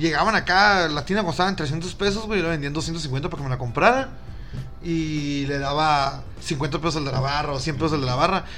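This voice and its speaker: Audible room echo surrounds a man speaking at a moderate pace with fairly high pitch and ordinary pitch variation. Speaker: podcast co-host. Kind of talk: casual chat. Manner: animated.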